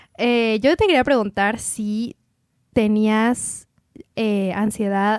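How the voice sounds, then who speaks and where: A woman with a Mexican accent speaks at a fairly high pitch with fairly even intonation, recorded very cleanly against a silent background with a dry, close sound and no echo. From Mexico. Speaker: podcast host. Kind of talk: casual chat.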